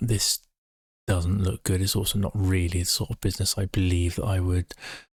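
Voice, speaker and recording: A quiet man talks at a fairly quick pace in a very deep, low, somewhat breathy voice. The recording is dry and close with no echo, very clean against a silent background. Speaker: amateur investor live streamer. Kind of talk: live stream commentary. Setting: shut away in a room at home, late at night.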